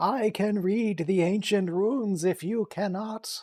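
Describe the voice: A female-sounding put-on character voice sits at a middle pitch. It moves at a fairly slow pace.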